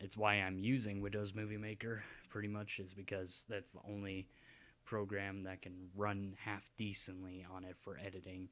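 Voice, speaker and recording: A soft-spoken man with a fairly low pitch talks at a moderate pace in a monotone, flat intonation, his loudness swinging widely. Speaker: gaming YouTuber. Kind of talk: casual vlog ramble. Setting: home at night, dad sleeping. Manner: halting.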